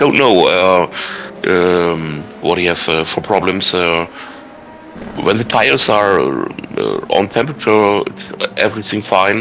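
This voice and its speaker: A man speaks very slowly with a German accent, his pitch fairly low and its variation ordinary. His loudness stays very even, with music playing in the background. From Germany. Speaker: sim racing team manager. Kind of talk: interview. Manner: halting.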